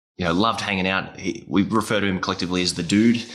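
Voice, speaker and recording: A man speaks very fast in a very deep, low voice with a bright, sharp tone and fairly even intonation, on a very clean recording with a silent background. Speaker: podcast host, music teaching educator. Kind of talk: casual interview chat.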